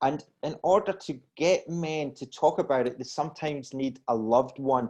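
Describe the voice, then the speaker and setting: Over a quiet background, a man with a Scottish accent talks at a moderate pace, his fairly high pitch showing ordinary variation. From Scotland, Glasgow. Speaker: wellness coach. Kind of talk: podcast interview. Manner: halting, repeats words.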